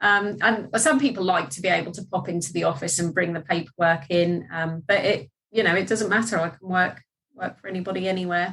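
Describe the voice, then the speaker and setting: This woman talks at a fairly quick pace in a medium pitch, her pitch varying in an ordinary way while her loudness swings widely. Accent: Norfolk. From England, Norfolk. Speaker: debt recovery business owner. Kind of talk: casual interview.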